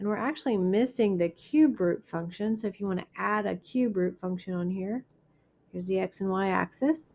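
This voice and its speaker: Here a woman speaks at a moderate pace in a plain, everyday voice, her pitch medium with ordinary variation. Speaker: math teacher. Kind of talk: lecture.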